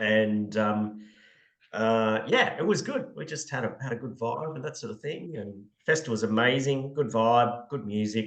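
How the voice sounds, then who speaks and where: At a moderate pace, a man with an Australian accent speaks at a medium pitch with ordinary pitch variation. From Australia (Brisbane). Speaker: podcast co-host, beer industry consultant. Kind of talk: casual chat. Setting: remote call, speaker in Cape Town. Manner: casual, many fillers and restarts.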